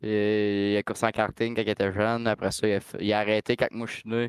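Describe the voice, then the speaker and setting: Fairly quick, monotone speech with flat intonation in a Quebec accent, dry and close with no echo, in a very clean recording with a silent background. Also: man. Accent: Québécois French. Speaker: race car driver. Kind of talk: casual chat.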